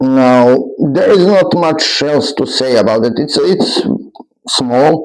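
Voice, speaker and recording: In a room with audible echo, a man with a non-native accent speaks very slowly at a fairly high pitch and ordinary pitch variation. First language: not English. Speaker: toy reviewer. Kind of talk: product review. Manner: halting.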